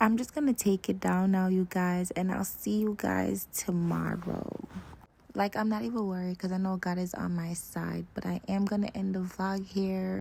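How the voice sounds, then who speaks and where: The intonation is fairly even. There is noticeable background noise. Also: woman, medium pitch for a woman, moderate pace. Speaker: travel vlogger. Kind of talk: vlog monologue. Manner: casual, chatty.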